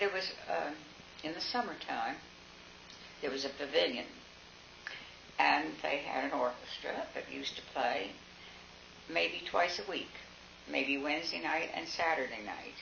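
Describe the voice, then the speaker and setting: A woman with an American accent at a fairly slow pace, long, frequent pauses, audible room echo and noticeable background noise. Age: 80s+. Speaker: local elder recalling town history. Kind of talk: oral history interview. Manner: halting, with fillers.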